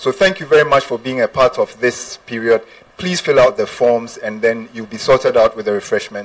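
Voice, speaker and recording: The speaker is a man talking at a moderate pace. His loudness swings widely. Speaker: event organizer and moderator; moderator. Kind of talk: audience question and announcements. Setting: live audience meeting. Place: hall. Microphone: handheld.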